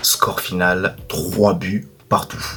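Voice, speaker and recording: Soft-spoken and fairly low in pitch, a man talks here. Noticeable background noise can be heard. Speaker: football YouTuber. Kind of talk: match debrief monologue.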